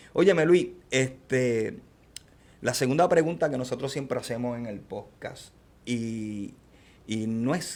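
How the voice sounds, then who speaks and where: A man of medium pitch with an ordinary speaking voice and ordinary pitch variation. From born outside US, Latin American. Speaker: podcast host. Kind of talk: interview.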